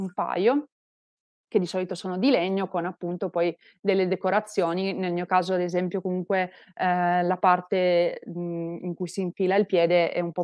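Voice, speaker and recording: A woman speaks at a moderate pace with monotone, flat intonation. The background is quiet and the sound dry with no echo. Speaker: presenter. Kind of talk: explanatory talk on Japanese clothing. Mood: friendly, light laughs. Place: home room. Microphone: earbuds.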